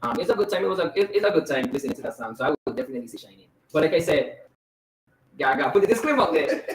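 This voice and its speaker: A man's high voice at a very fast pace in a strong Virgin Islands accent, with very wide pitch swings and big shifts in loudness. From US Virgin Islands, Saint Croix. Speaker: pop musician. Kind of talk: casual interview chat. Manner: casual, filler-heavy.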